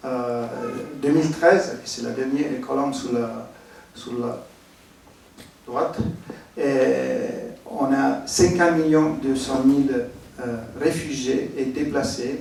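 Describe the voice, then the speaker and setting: Speaking with an Italian accent, a man uses a fairly high pitch, fairly even intonation and a very slow pace with long, frequent pauses, over noticeable background noise and audible room echo. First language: Italian (speaking French). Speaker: architect, humanitarian expert. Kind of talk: conference presentation. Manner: halting, many hesitations.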